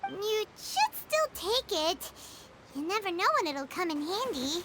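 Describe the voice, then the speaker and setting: A put-on character voice at an extremely high pitch moves at a fairly slow pace over loud background noise. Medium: video game. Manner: earnest, friendly.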